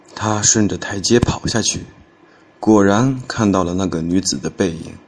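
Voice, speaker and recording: A man with a fairly low voice speaks at a very slow pace over noticeable background noise. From Henan, Xinxiang. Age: 20s. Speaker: storytelling contest entrant. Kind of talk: reading aloud.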